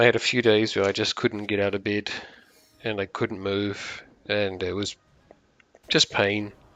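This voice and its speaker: A man talks with a New Zealand accent. His fairly low voice moves at a moderate pace. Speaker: gaming streamer. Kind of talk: live gameplay stream chat. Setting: live stream. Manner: halting, many fillers.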